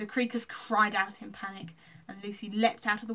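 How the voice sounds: Fairly even intonation carries a natural reading voice.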